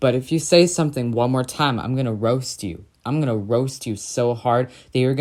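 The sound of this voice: An unforced reading voice, nothing more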